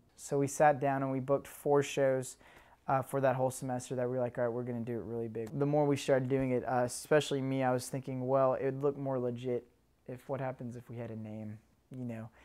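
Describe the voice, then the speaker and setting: Very fast and monotone, with flat intonation, a man talks in a dark, mellow tone. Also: medium pitch for a man, very clean recording, silent background. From Tennessee, Chattanooga. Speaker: musician and concert promoter. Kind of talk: interview.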